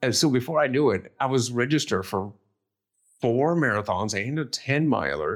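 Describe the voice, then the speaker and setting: Lively intonation in a very clean recording against a silent background. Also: man, medium pitch for a man, moderate pace. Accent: American. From US Midwest, northeast Ohio. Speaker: war veteran. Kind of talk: interview.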